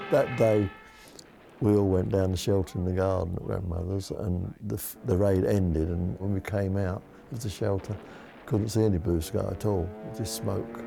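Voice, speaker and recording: A man speaks in an East London accent with a very deep, low voice. His pace is moderate, with ordinary pitch variation. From East End of London. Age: 80s+. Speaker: war survivor. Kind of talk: interview answer.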